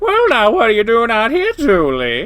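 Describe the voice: In a put-on character voice, a man speaks at a moderate pace with extremely high pitch, very wide pitch swings and a fairly bright tone.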